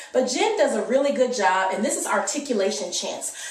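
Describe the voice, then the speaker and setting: A woman with an American accent talks at a moderate pace with very wide pitch swings, amid noticeable background noise and audible room echo. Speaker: homeschooling mom vlogger. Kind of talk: casual tutorial. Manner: conversational, many fillers.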